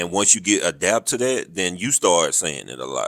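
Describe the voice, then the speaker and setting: A man with a Southern US accent, dry and close with no echo, on a very clean recording with a silent background. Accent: southern drawl. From US South, rural. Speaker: military podcast host, army veteran. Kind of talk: casual interview chat.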